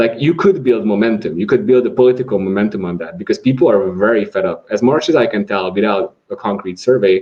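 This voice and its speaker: Talking at a very fast pace with hardly any pauses, a man with a Hungarian accent uses a medium pitch and very wide pitch swings. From Hungary. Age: 20s. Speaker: atheist society vice president. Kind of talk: podcast interview. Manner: halting, many repetitions.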